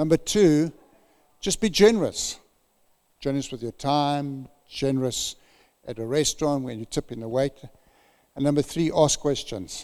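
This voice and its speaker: A man with a fairly high pitch speaks at a moderate pace, his pitch varying in an ordinary way. His loudness swings widely, and he leaves long, frequent pauses. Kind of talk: sermon. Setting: church.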